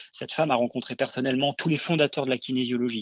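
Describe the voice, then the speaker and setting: This man's voice sits at a medium pitch with ordinary pitch variation. He talks at a fairly quick pace. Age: 40s. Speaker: kinesiologist. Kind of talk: interview. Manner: hesitant, many fillers.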